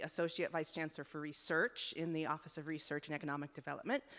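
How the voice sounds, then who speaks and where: A woman with a very deep, low pitch speaks at a very fast pace, her intonation fairly even. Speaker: university research administrator. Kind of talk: public comment at a committee meeting. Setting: public town hall meeting with microphone. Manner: many fillers and false starts.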